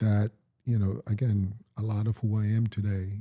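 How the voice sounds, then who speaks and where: On a very clean recording with a silent background and a dry, close sound with no echo, a man speaks at a fairly slow pace in a fairly low pitch, somewhat breathy, with a dark, mellow tone and monotone, flat intonation. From Jamaica. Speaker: podcast host, actor. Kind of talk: casual chat.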